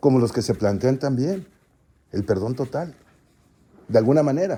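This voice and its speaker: A dark, mellow tone at a moderate pace. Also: man. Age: 60s. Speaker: citizen participant. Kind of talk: forum speech. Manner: halting, with many fillers.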